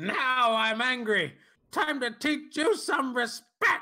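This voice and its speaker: A man puts on a character voice. It sits at an extremely high pitch. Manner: angry, threatening.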